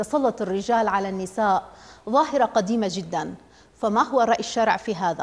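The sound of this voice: The pitch varies in an ordinary way across this unforced reading voice.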